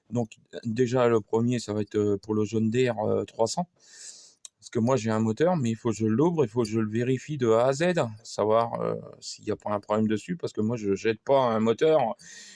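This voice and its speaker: A man speaks with a dark, mellow tone and ordinary pitch variation. The sound is dry and close, with no echo. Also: medium pitch for a man, moderate pace. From France, Sarthe. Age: 50s. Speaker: amateur mechanic YouTuber. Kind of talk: workshop tutorial monologue. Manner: halting, many fillers and repetitions; casual.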